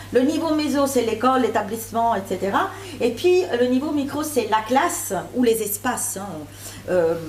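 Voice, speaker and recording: A woman's high-pitched voice at a moderate pace, with lively intonation, very even loudness, audible room echo and noticeable background noise. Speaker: academic researcher. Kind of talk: conference presentation. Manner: hesitant, many fillers.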